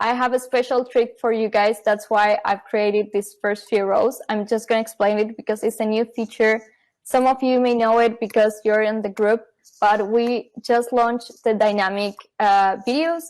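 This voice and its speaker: Speaking with a non-native accent, a woman holds a fairly high pitch with monotone, flat intonation and very even loudness. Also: moderate pace. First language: not English. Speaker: software company marketing staff. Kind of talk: live product demo.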